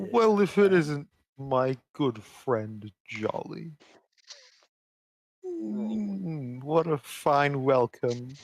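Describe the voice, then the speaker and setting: A man puts on a character voice at a medium pitch. He speaks very slowly, with long, frequent pauses. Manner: slow, ponderous, friendly.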